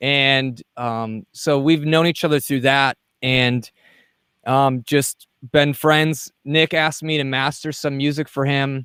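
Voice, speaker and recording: A man speaks with a Wisconsin accent at a fairly slow pace. His voice is fairly high, with fairly even intonation. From Wisconsin, US. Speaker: podcast host, mixing and mastering engineer. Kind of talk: casual interview.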